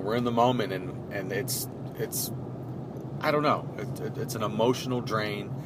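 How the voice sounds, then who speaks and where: Noticeable background noise accompanies a man with an American accent. He speaks at a moderate pace and a medium pitch. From US Midwest, Cleveland, Ohio. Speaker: podcast host. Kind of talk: casual chat. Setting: in a car. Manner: loud.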